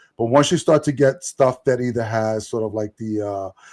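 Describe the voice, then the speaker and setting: The sound is dry and close with no echo as a man speaks with a New York accent. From New York, Puerto Rican family. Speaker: podcast co-host, comic reviewer. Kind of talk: casual chat, comic review. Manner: halting, many fillers and repeated words.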